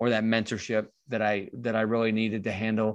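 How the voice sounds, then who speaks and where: A man speaks at a moderate pace with an American accent and a medium pitch. The background is quiet. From Michigan, US Midwest. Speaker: entrepreneur. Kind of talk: interview. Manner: halting, repeats words.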